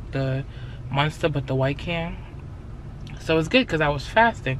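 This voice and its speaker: Bright and sharp in tone, the voice carries some vocal fry at a moderate pace, with ordinary pitch variation, a dry sound with no echo, and light background noise. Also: woman. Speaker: vlogger. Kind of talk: casual vlog chat. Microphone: phone near.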